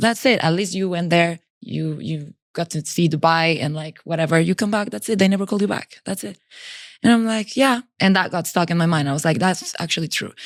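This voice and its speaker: A woman at a very fast pace, fairly low in pitch with lively intonation, on a very clean recording with a silent background. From Mexico. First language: Spanish. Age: 20s. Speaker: indoor cycling master instructor. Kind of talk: casual chat. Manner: animated.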